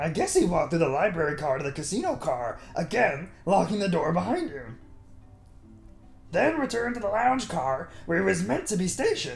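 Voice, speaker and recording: A put-on character voice at a middle pitch and moderate pace. Clear music plays in the background. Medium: game stream. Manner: casual, storytelling.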